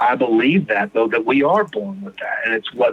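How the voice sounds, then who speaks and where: With an American accent, a man with a fairly high pitch swings his pitch very widely over noticeable background noise. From Texas (Houston). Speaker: recovering addict sharing his story. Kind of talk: personal recovery testimony in podcast interview.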